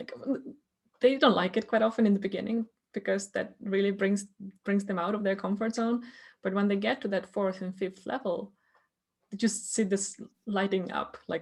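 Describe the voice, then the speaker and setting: A woman with a somewhat breathy voice at a medium pitch talks at a moderate pace with fairly even intonation and long, frequent pauses. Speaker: podcast host and coach. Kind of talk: podcast host conversation.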